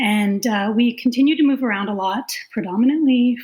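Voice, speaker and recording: With a Canadian accent, the speaker talks at a moderate pace in a somewhat breathy voice with ordinary pitch variation. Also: woman. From Canada. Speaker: nurse and clinical informatics consultant. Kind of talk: podcast interview.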